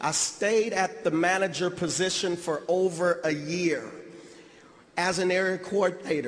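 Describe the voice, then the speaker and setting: A man at a high pitch with fairly even intonation, amid noticeable background noise and audible room echo. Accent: American. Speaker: motivational speaker. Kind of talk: convention keynote speech. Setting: stage with audience. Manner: emotional.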